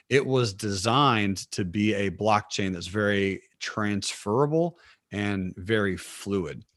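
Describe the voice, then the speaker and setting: Speaking fairly slowly, a man uses a fairly low voice with ordinary pitch variation. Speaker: financial trading educator. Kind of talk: interview conversation. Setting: video call. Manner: animated.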